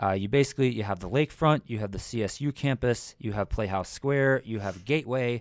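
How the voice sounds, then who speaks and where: On a very clean recording with a silent background, a man with an American accent talks at a fairly quick pace in a plain, everyday voice with ordinary pitch variation. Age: 30s. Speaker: podcast co-host. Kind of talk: casual chat.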